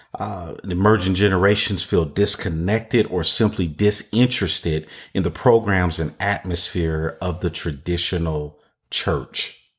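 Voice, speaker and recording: On a very clean recording with a silent background, a man speaks fairly slowly in a somewhat breathy voice, his pitch very deep and low and his pitch variation ordinary. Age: 50s. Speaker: church consultant podcast host. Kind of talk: solo podcast talk on church ministry. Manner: repetitive, restating phrases.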